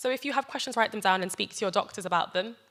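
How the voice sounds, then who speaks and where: Her tone bright and sharp, a woman with a British accent speaks at a medium pitch. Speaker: doctor giving health talk. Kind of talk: health talk to church audience. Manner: fast.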